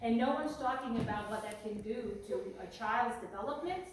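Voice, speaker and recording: A fairly high-pitched woman with a non-native accent and lively intonation at a moderate pace, with audible room echo and noticeable background noise. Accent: foreign. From former communist country. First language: not English. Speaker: parent activist and business owner. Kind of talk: political speech. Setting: fundraiser event with audience.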